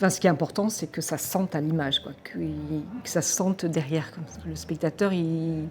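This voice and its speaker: Somewhat breathy and fairly low in pitch, a woman talks at a moderate pace with hardly any pauses, ordinary pitch variation and big swings in loudness. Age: 60s. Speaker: wildlife filmmaker. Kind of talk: interview. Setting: film festival. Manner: hesitant, many filler sounds.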